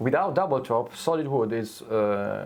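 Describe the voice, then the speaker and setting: A man's medium-pitched voice with a non-native accent, lively intonation and a moderate pace, over noticeable background noise. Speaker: guitar maker. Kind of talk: casual chat. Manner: halting.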